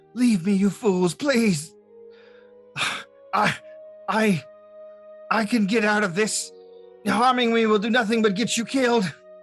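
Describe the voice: A squeaky, fairly high put-on character voice over clear music in the background. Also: moderate pace.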